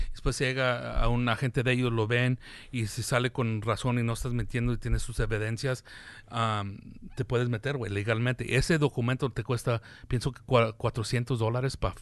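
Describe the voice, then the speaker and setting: Against a quiet background, a man with a medium pitch talks at a moderate pace in a monotone, flat intonation. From US, Mexican-American family. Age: 40s. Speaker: comedian and podcast host. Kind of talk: casual chat.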